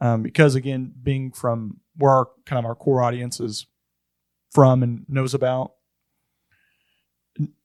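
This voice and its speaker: Flat, monotone speech in a Southern US accent comes at a fairly slow pace with long, frequent pauses. The sound is dry and close with no echo. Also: man, medium pitch for a man. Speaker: podcast co-host. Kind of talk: casual chat.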